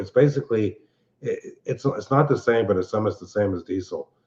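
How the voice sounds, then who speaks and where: In a Philadelphia accent, a man talks at a fairly quick pace. His pitch sits in the medium range. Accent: Philadelphia-area American. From Pennsylvania, Montgomery County. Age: 60s. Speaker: live-stream show host. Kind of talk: casual chat. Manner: halting.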